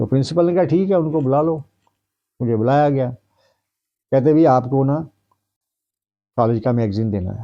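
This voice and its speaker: Long, frequent pauses break up a man's speech in a Punjabi accent, with a dark, mellow tone and ordinary pitch variation. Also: medium pitch for a man. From Punjab, India (Jalandhar district village). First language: Punjabi (speaking Hindi). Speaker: retired Hindi professor. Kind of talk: interview.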